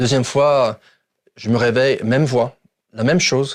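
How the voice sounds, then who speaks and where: A man's fairly even intonation, on a very clean recording with a silent background. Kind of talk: testimony. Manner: halting.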